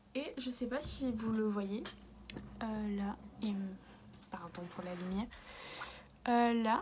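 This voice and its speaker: In audible room echo, a woman speaks at a very slow pace with long, frequent pauses. Her somewhat breathy voice sits fairly high in pitch with ordinary pitch variation. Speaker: beauty vlogger. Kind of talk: makeup tutorial. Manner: halting, many hesitations; softer than usual.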